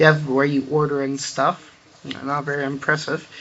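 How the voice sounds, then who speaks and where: A man mumbles at a moderate pace and a fairly high pitch in a monotone, flat intonation, with noticeable background noise. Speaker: gamer showing a Minecraft build. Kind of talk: game tour walkthrough. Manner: mumbling; halting, filler-heavy.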